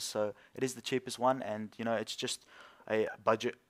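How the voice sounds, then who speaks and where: Over a silent background on a very clean recording, a man with an Australian accent talks fairly quickly at a medium pitch with monotone, flat intonation. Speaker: PC building YouTuber. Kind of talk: tutorial. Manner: halting, stuttering.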